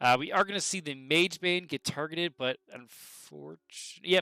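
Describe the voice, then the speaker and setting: A man's bright, sharp tone with lively intonation, in a dry, close sound with no echo. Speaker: game commentator. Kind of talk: live commentary. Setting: livestream. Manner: fast; animated.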